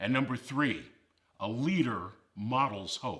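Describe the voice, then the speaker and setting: Over a very clean recording with a silent background, a man speaks at a medium pitch with lively intonation. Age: 60s. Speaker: motivational speaker. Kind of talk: motivational speech. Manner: emphatic.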